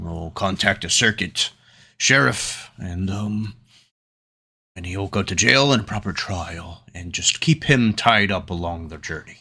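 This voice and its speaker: A man does a put-on character voice, raspy and fairly low-pitched, speaking fairly slowly on a very clean recording with a silent background. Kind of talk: measured, formal. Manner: soft-spoken, calm.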